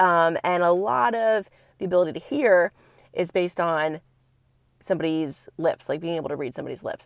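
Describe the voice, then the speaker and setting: Dry with no echo, the voice moves at a fairly quick pace. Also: woman, quiet background. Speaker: vlogger reviewing a product. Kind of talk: casual vlog chat. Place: car. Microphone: lapel.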